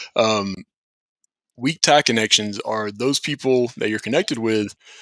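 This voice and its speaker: In a Southern US accent, a man talks at a fairly slow pace with medium pitch and ordinary pitch variation, the sound dry and close with no echo on a very clean recording with a silent background. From US South, St. Petersburg, Florida. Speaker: company founder and show host. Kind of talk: casual chat.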